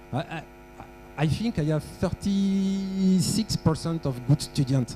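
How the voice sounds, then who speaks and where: A man speaks at a very slow pace in a dark, mellow tone with a fairly high pitch. His pitch variation is ordinary, and his loudness swings widely. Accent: French. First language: French. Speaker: workshop presenter on aeronautical data. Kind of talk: technical workshop lecture with audience quiz. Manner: halting, with frequent fillers.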